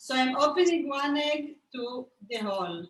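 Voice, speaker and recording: A woman with a non-native accent speaks at a fairly slow pace. Her high voice has lively intonation. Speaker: cooking instructor. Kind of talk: cooking tutorial. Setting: video call.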